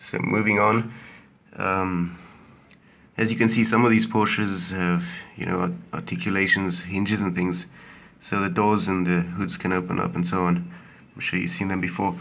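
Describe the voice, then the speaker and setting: Moderate pace broken by long, frequent pauses, with fairly even intonation and audible room echo. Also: man, very deep, low pitch for a man. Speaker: toy collector video maker. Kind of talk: show-and-tell video. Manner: hesitant, many fillers.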